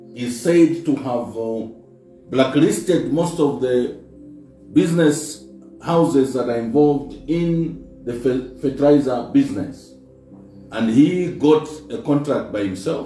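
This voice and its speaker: The voice moves at a very slow pace with ordinary pitch variation, audible room echo and faint music in the background. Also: man. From Zambia. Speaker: politician, party spokesperson. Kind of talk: press briefing statement. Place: office.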